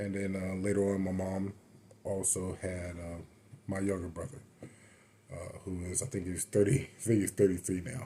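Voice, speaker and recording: A man with an American accent speaks at a moderate pace in a very deep, low pitch, his dark, mellow tone somewhat breathy, with long, frequent pauses. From Florida (Avon Park). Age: 30s. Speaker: powerlifter. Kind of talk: casual monologue storytelling. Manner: hesitant, many fillers; unscripted, off the cuff.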